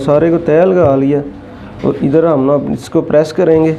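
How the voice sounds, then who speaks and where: Soft-spoken and fairly high-pitched, a man talks at a fairly slow pace with monotone, flat intonation amid noticeable background noise. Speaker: tailoring instructor. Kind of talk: tutorial.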